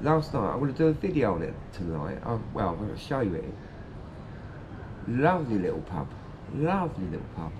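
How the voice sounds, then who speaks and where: A man with very wide pitch swings against noticeable background noise. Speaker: vlogger on holiday. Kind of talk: casual vlog chat. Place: street. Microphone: phone near.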